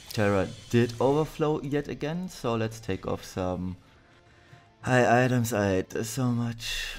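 Over music in the background, a man speaks fairly slowly at medium pitch with ordinary pitch variation. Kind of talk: game guide commentary.

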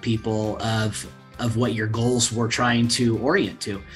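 A man is speaking. Faint music plays behind him. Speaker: guest. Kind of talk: interview answer. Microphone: video call.

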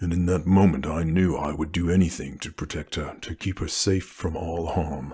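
Calm and monotone, the speech has flat intonation at a moderate pace. There are hardly any pauses. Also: man, very deep, low pitch for a man. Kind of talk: romantic ASMR roleplay. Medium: solo performance. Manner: low, calm and measured.

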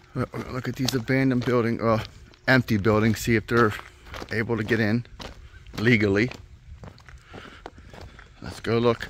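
A man speaks in a flat monotone, leaving long, frequent pauses. The sound is dry with no echo, over light background noise. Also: moderate pace. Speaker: explorer vlogger. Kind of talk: casual vlog chat. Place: open country. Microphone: phone near.

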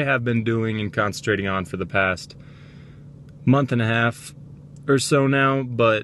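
Moderate pace and ordinary pitch variation, dry sound with no echo, light background noise. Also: man. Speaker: vlogger. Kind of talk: casual vlog chat. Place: car. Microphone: phone near.

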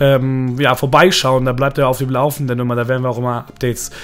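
Against noticeable background noise, a man speaks fairly quickly at a medium pitch. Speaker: gaming youtuber. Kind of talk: casual vlog. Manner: hesitant, many filler sounds.

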